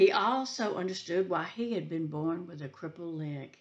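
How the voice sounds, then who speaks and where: Against a quiet background, a woman speaks at a fairly slow pace, her pitch swinging very widely. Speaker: preschool teacher. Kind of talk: storytelling to children. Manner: animated. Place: home room. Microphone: webcam.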